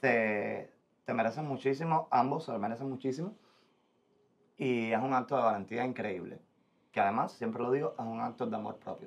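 Moderate pace with long, frequent pauses and ordinary pitch variation. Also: man. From Cuba. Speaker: podcast host. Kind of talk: casual interview. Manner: animated. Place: studio.

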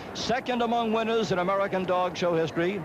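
Amid noticeable background noise, a man talks at a fairly quick pace with ordinary pitch variation. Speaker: dog show announcer. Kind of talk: live commentary. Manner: steady, informative, excited.

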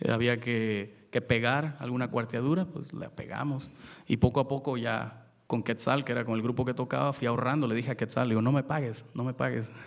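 Against a quiet background, a man speaks at a fairly quick pace with hardly any pauses. His voice carries vocal fry and fairly even intonation. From Mexico, port of Veracruz. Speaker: luthier and son jarocho musician; panelist. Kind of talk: panel talk. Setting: stage with audience. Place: stage. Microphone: podium.

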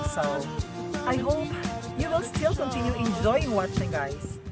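Loud music plays behind a man speaking at a fairly slow pace, the sound dry with no echo. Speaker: travel vlogger. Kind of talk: casual vlog chat. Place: beach. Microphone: camera far.

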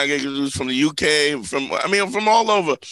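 Animated in tone, a man talks at a fairly quick pace with ordinary pitch variation. The sound is dry with no echo, over a quiet background. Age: 50s. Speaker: comedian and relationship advice podcast host. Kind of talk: casual comedic podcast chat. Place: studio. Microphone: studio mic.

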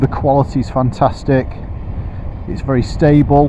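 Noticeable background noise surrounds a man whose voice sounds dry with no echo. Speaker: shop staff reviewer. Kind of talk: product review commentary while riding. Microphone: helmet.

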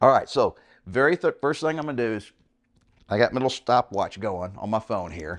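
Very wide pitch swings over a quiet background. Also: man. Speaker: fitness coach. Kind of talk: tutorial. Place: home room.

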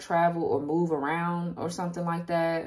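A woman is speaking. Her voice sits at a fairly low pitch. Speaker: tarot reader. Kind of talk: tarot reading commentary. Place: home room. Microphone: phone near.

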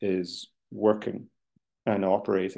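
A man talks in a fairly low pitch with monotone, flat intonation against a quiet background. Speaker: housing developer; panelist. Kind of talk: webinar presentation. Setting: video call. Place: home room. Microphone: webcam.

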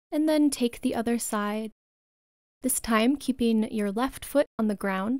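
Soft-spoken and high-pitched, a woman uses a gentle, soothing tone with ordinary pitch variation in a dry sound with no echo. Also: quiet background. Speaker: yoga instructor. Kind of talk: guided meditation. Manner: slow, soothing, calm; gentle, unhurried, soft-spoken. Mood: calm, soothing bedtime tone.

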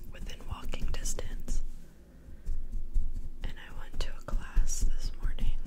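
Amid loud background noise, a woman speaks at a fairly slow pace. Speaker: ASMR creator. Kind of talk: casual ASMR ramble to camera. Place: home room. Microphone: studio mic.

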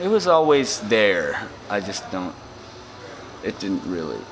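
A man talking at a fairly slow pace amid noticeable background noise. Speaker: interviewee. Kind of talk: interview answer. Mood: laid-back, joking. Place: home room.

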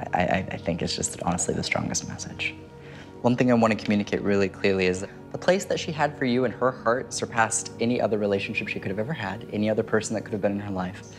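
A man's fairly low voice at a very fast pace, with clear music in the background. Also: ordinary pitch variation. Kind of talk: reading delivered to a sitter, conversational. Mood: warm, earnest, smiling. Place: home room.

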